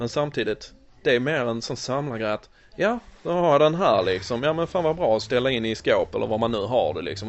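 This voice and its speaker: A man talks at a fairly quick pace in a plain, everyday voice, with ordinary pitch variation. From born in USA, raised in Sweden. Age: 30s. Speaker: toy collector. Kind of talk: casual interview. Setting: in a shop.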